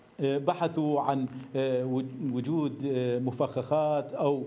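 A man speaks at a very slow pace. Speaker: news correspondent. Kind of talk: live news report. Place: studio.

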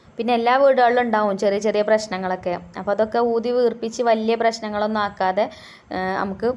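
The speaker is a woman with a fairly high pitch. Her delivery stays monotone and flat. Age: 30s. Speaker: home cooking vlogger. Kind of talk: casual vlog talk while cooking. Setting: home kitchen.

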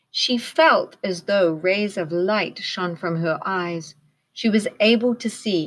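Against a quiet background, the speaker is reading aloud in a natural voice, pitch varying in an ordinary way.

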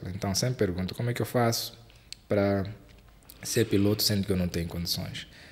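A man's fairly low-pitched voice. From Mozambique. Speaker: aviation YouTuber and podcast host; aviation YouTuber, podcast host. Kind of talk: interview. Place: studio. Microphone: studio mic.

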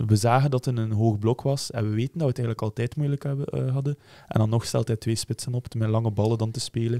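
Over a quiet background, a man talks at a very fast pace. His medium-pitched voice has a dark, mellow tone and fairly even intonation. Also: dry sound with no echo. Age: 20s. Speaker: football fan podcast host. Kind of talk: casual chat. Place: studio. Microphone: studio mic.

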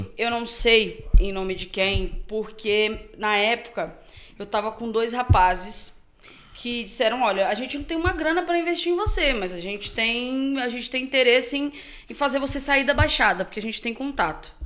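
A woman's fairly high voice at a moderate pace. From Guarujá, São Paulo state, Brazil. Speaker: sertanejo singer. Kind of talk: podcast interview answer. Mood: relaxed, animated storytelling. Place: studio. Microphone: studio mic.

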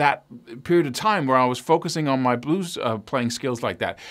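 With a quiet background, the man keeps to a moderate pace. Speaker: guitar teacher. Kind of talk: tutorial. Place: studio.

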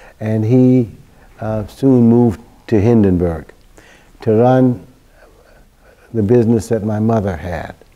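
Pausing long and often, a man speaks at a fairly slow pace in a dark, mellow tone with ordinary pitch variation. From Germany. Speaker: Holocaust survivor. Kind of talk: testimony. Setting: interview. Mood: calm, reflective storytelling. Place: office. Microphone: lapel.

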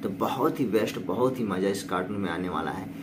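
Moderate-paced speech from a man, with ordinary pitch variation and noticeable background noise. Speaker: channel host. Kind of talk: casual vlog intro. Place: shop. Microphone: earbuds.

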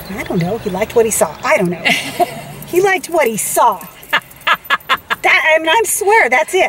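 Over light background noise, a woman with a high pitch speaks in very wide pitch swings. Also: moderate pace. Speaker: co-host telling a story. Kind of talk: casual vlog chat. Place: car. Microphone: phone near.

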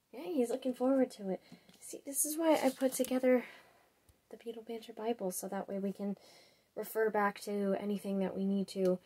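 Her tone is dark and mellow. The woman's pitch shifts in an ordinary way. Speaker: podcast planner. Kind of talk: casual vlog chat. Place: home room. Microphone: webcam.

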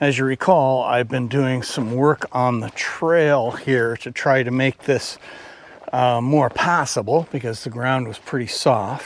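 A man at a fairly slow pace, dry with no echo, over light background noise. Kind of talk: casual vlog chat. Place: forest. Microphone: phone near.

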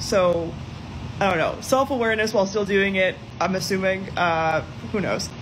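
A woman talks at a moderate pace. Noticeable background noise sits behind her. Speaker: book reviewer. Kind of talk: casual vlog chat. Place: home room. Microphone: phone near.

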